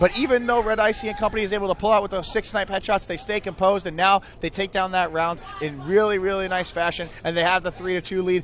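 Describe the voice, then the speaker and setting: Noticeable background noise sits behind a man with a high pitch. He talks at a very fast pace with fairly even intonation and hardly any pauses. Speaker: esports caster. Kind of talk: live commentary. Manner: loud.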